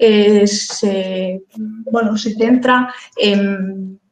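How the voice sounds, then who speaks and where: In an Asturian accent, a woman speaks at a fairly high pitch with ordinary pitch variation. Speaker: lawyer and webinar moderator. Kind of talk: webinar introduction. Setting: online webinar. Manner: halting, many fillers and repetitions.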